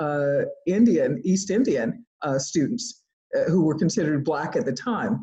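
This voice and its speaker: A woman's dark, mellow tone, somewhat breathy, at a moderate pace. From US South, rural central Georgia. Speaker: economics professor. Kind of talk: interview. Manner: halting, with frequent fillers and restarts.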